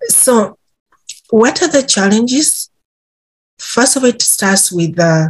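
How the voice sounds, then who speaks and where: A woman speaks at a very slow pace with long, frequent pauses. Her pitch swings very widely. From Uganda. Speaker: intellectual property policy advisor. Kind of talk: podcast interview answer. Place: office. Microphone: webcam.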